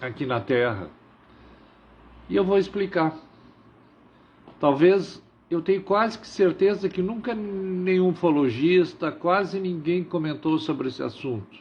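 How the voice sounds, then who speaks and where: A man's high voice, fairly slow in pace, with lively intonation. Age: 60s. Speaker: livestream host. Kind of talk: live stream monologue. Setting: live stream.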